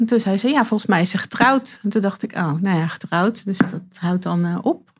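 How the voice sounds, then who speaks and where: A woman with a somewhat breathy voice speaks at a medium pitch and moderate pace, with ordinary pitch variation. The recording is very clean, with a silent background. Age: 40s. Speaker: interviewee sharing coming-out story. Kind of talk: personal interview. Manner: halting.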